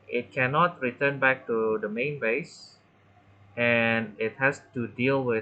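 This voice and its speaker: Someone with a non-native accent talks over music in the background. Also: man. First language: not English. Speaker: gaming tutorial creator. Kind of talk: gameplay tutorial commentary. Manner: halting, many fillers.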